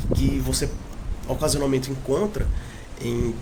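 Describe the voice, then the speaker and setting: Male speech at a moderate tempo amid audible room echo and noticeable background noise. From far south of Ceará, Brazil. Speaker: language enthusiast speaking about regional dialects. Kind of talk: informal talk about dialects.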